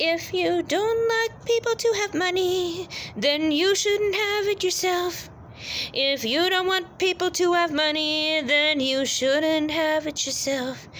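With light background noise behind her, a woman talks very slowly at an extremely high pitch, her loudness very even and her pitch varying in an ordinary way. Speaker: vlogger. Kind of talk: casual vlog rant. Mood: annoyed, repetitive lecturing. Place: street. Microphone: phone near.

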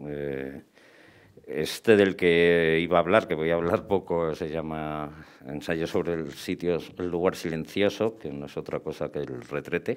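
Intonation stays fairly even at a fairly slow pace. The background is quiet. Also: man, very deep, low pitch for a man. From Spain. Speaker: novelist and filmmaker; guest. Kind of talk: panel discussion. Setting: bookshop event with audience. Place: shop. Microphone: headset.

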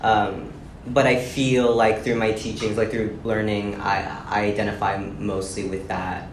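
Fairly low-pitched and fairly even in intonation, a man talks at a fairly slow pace. Audible room echo and light background noise surround him. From South America. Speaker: presenter; panelist. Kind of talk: lecture. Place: classroom. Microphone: camera far.

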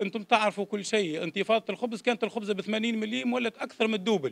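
A man speaks with a high pitch. His pace is fairly quick. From Tunisia, Jendouba; Tunisia. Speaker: former political prisoner giving testimony; witness. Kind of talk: public testimony. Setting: public hearing. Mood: grave, aggrieved personal account. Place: hall. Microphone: podium.

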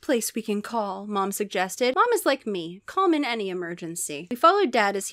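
A passage is read aloud in a plain way.

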